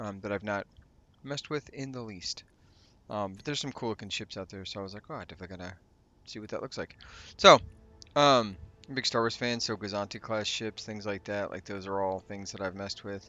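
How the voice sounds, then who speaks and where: The speaker goes at a very fast pace with long, frequent pauses, big swings in loudness and ordinary pitch variation. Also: man, fairly low pitch for a man. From New Mexico. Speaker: gaming YouTuber. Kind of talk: let's play commentary. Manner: casual, halting with fillers.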